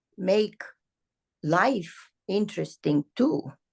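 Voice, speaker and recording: Speaking at a very slow pace, a woman with a medium pitch and vocal fry makes very wide pitch swings, recorded dry and close with no echo. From Romania. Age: 70s. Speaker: ballet teacher. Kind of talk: interview. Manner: animated.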